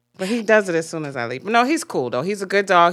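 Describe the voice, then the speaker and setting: Over a very clean recording with a silent background, a woman speaks at a very fast pace in an animated tone with lively intonation. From Jamaica. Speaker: podcast co-host. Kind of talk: casual chat. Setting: live stream.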